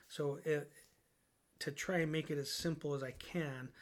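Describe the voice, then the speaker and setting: A man speaks at a fairly high pitch with fairly even intonation. The recording is very clean, with a silent background. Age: 50s. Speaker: podcast host. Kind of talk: solo spiritual monologue. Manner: hesitant, many fillers.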